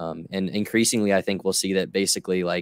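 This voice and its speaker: On a very clean recording with a silent background and a dry, close sound with no echo, a man talks at a fairly quick pace in a very deep, low voice. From New England. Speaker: YouTube documentarian. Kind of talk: casual interview chat. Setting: live stream.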